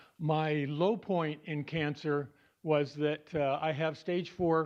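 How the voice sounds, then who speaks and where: A man with a plain, everyday voice speaks at a fairly high pitch against a quiet background. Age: 60s. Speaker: support group member sharing cancer story. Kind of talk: personal talk to support group.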